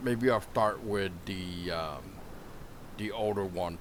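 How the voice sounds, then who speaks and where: This man's voice sits fairly low in pitch, with ordinary pitch variation. He talks at a fairly slow pace. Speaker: podcast host. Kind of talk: podcast interview questions.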